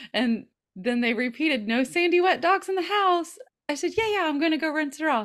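A woman with a Southern US accent speaks at a fairly quick clip in an extremely high pitch, her voice swinging very widely up and down. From US South. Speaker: podcast co-host. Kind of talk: casual chat.

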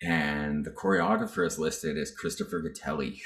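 A man speaks in a Canadian accent. Music plays in the background. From Northern British Columbia, Canada. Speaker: singer, dancer and actor. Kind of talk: casual chat.

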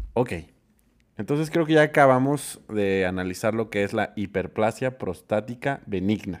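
A man speaks with an ordinary speaking voice, fairly low in pitch, at a fairly slow pace with lively intonation. The recording is very clean with a silent background. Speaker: podcast co-host. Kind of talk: casual chat.

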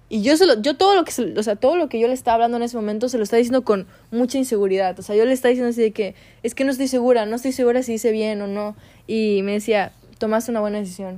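A woman speaks at a very fast pace in a dark, mellow tone. Her pitch sits fairly high. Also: ordinary pitch variation. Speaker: podcaster. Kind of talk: personal monologue. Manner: halting.

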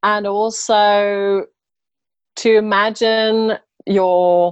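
In an English accent, a woman speaks with fairly even intonation, the sound dry and close with no echo. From England. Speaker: interior designer. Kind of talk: interview. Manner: hesitant, many fillers.

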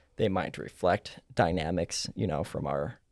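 With vocal fry and a very deep, low pitch, a man speaks at a moderate pace, the sound dry and close with no echo. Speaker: therapist. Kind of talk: casual professional discussion.

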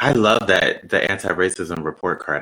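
This man's pitch sits very deep and low, with ordinary variation. His tone is bright and sharp. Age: 30s. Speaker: podcast host and actor. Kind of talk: panel discussion.

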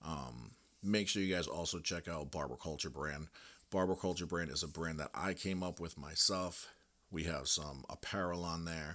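Over a silent background in a very clean recording, a man speaks at a moderate pace in a very deep, low voice with a bright, sharp tone, ordinary pitch variation and vocal fry. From Rhode Island. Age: 30s. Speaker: barber and podcast host. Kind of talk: casual monologue. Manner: blunt, profanity-laced.

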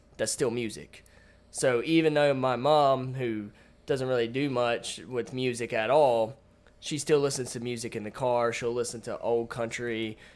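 A man's medium-pitched, plain, everyday voice at a moderate pace, with ordinary pitch variation. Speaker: podcast co-host. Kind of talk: casual chat.

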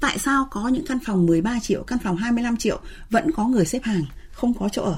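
A woman's fairly high voice, an unremarkable speaking voice, with lively intonation at a moderate pace. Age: 60s. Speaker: researcher and center director. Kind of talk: radio interview discussion.

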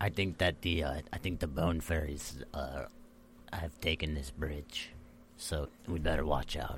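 Delivered in a put-on character voice at a fairly slow pace, the speech has long, frequent pauses and clear background noise. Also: man, very deep, low pitch for a man. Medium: actual play. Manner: simple, casual, says man a lot.

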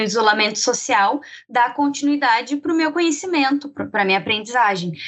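A woman's high-pitched voice. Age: 20s. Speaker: marketing analyst. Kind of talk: interview.

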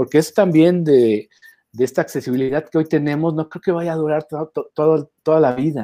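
Dark, mellow tone at a fairly quick pace, with ordinary pitch variation and a dry, close sound with no echo. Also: man, fairly high pitch for a man. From Mexico, Guadalajara. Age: 50s. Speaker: branding expert. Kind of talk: interview.

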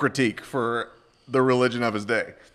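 With an American accent and a plain, everyday voice, a man talks at a fairly quick pace, his medium pitch showing ordinary pitch variation. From US South. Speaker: pastor and author. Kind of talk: casual chat.

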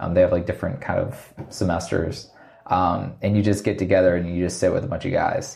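A man talks with a very deep, low pitch and a somewhat breathy voice. His intonation stays fairly even. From Virginia, US. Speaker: magazine founder and entrepreneur. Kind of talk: casual interview. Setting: spare room at office.

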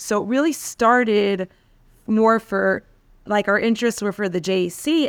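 In an unremarkable speaking voice, a woman with an American accent talks at a medium pitch and a moderate pace. The recording is very clean and dry, close with no echo and a silent background. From New York, Queens. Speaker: rabbi's wife, community leader. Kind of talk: interview.

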